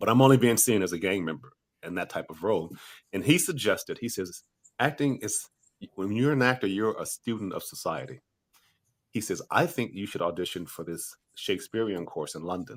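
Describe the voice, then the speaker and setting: In an American accent, a man with an unremarkable speaking voice talks at a fairly quick pace and fairly low pitch, his intonation lively, in a very clean recording with a silent background. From USA. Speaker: actor. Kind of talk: interview.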